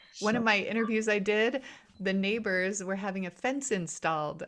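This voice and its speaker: Noticeable noise fills the background. A woman talks over it. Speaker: podcast host, guest on interview podcast. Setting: home recording.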